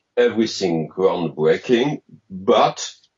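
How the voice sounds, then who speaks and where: A man talks at a very slow pace with a French accent. His pitch is medium. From France. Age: 50s. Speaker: game designer. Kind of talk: interview. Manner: halting.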